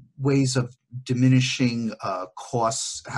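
A somewhat breathy man at a very slow pace, against a quiet background. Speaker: podcast host and business consultant. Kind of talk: interview. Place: home room. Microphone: earbuds.

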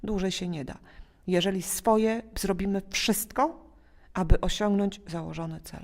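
Ordinary pitch variation and a fairly slow pace mark an unremarkable speaking voice. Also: woman, medium pitch for a woman. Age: 40s. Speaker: school principal. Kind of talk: interview.

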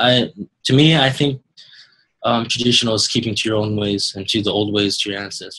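Against a quiet background, a man speaks at a fairly quick pace with a bright, sharp tone and fairly even intonation. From New Mexico (Chiricahua Apache). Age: young. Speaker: landfill attendant, young Native interviewee. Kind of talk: interview testimony. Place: home room. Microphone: earbuds.

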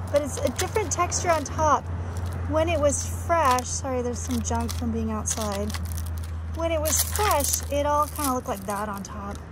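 Speaking fairly slowly, a woman uses a very deep, low pitch and a flat monotone. Background noise is noticeable, and the sound is dry with no echo. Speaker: teacher showing an object. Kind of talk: casual show-and-tell for students. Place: street. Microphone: phone near.

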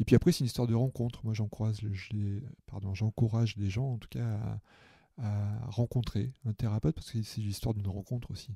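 At a fairly quick pace, a man speaks with fairly even intonation in a dark, mellow, somewhat breathy tone, the sound dry and close with no echo. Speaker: therapist and coach. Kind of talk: casual interview. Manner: voice dropped in intensity at one point; halting, many repetitions.

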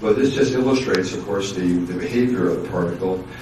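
A man talks at a fairly quick pace with a low pitch. His pitch varies in an ordinary way, and the room echo is audible.

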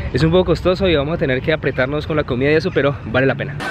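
Talking at a very fast pace with fairly even intonation, a man is heard in a dry sound with no echo over noticeable background noise. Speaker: travel vlogger. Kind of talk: casual vlog chat. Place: open country. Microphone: phone near.

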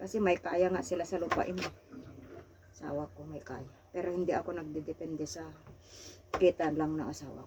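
A woman speaks loudly at a very deep, low pitch with ordinary variation, moving at a fairly quick pace broken by long, frequent pauses. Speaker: OFW domestic worker. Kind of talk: casual chat.

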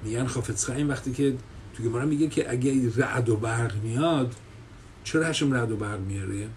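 A man at a medium pitch, somewhat breathy, with ordinary pitch variation and a fairly quick pace over light background noise. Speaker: religious teacher. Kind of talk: religious lecture. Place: office. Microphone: webcam.

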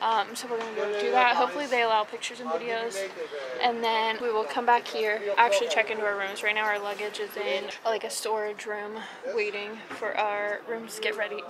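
A woman talks fairly quickly over loud background noise. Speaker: travel vlogger. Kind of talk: casual vlog chat. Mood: cheerful, chatty. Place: street. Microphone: phone near.

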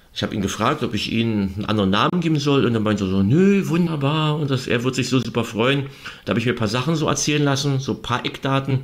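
A man with a medium-pitched voice talks at a very fast pace, his pitch moving in an ordinary way. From East Berlin. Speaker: author and journalist. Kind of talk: interview. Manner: halting, many fillers.

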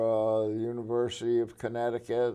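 A man's dark, mellow voice over a quiet background. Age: 90s. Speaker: World War 2 veteran, architect. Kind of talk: interview answer. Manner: humorous, laughs often. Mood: relaxed, humorous. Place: studio. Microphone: lapel.

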